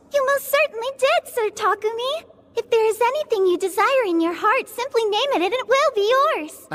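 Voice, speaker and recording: In a put-on character voice, a female-sounding speaker talks at a fairly quick pace with an extremely high pitch. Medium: fan dub. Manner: polite, formal, warm.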